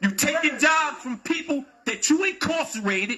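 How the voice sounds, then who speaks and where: This man's voice is extremely high-pitched, raised and projected. His intonation is lively. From Wilmington, Delaware. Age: 60s. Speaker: community member speaking at public comment. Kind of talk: public comment at council meeting. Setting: city council meeting. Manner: heated, confrontational.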